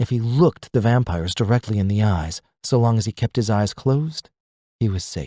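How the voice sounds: Set against a quiet background, a natural reading voice moves with ordinary pitch variation.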